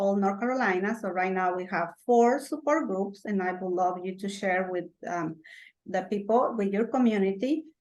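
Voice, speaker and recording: A woman speaks with a Spanish accent. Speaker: parent support group organizer. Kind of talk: presentation. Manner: halting.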